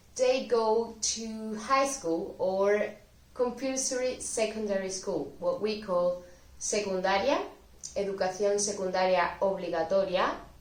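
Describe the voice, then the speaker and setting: A woman of medium pitch speaks with a Spanish accent. She talks at a fairly slow pace with ordinary pitch variation. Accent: Spanish (Spain). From Spain. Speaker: Spanish language teacher. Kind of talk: educational talk to camera.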